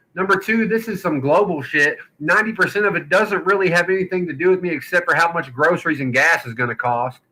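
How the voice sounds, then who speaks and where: In a strong Southern accent, a man talks at a very fast pace, his high voice bright and sharp in tone with lively intonation. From Kentucky and Louisiana. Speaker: podcast host. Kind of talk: casual chat.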